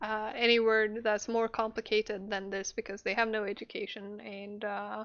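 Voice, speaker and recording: A woman with a non-native accent speaks at a fairly high pitch with hardly any pauses. Her intonation is monotone and flat. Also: moderate pace. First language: not English. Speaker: podcast co-host. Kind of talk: casual chat. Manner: hesitant, many fillers.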